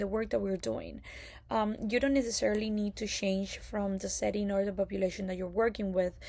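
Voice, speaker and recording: A woman speaks at medium pitch in a Spanish accent. The recording is very clean with a silent background. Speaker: occupational therapy graduate student. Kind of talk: prepared class presentation. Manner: hesitant, many fillers.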